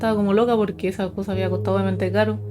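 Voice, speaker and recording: A woman is talking. Music plays in the background. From Chile, northern. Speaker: paranormal storyteller youtuber. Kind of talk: casual storytelling.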